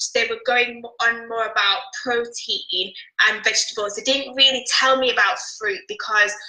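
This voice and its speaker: A woman speaks at a fairly slow pace in a British accent, her pitch high with ordinary variation. Music plays in the background. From United Kingdom. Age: 20s. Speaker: interview guest sharing a healing story. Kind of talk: testimony.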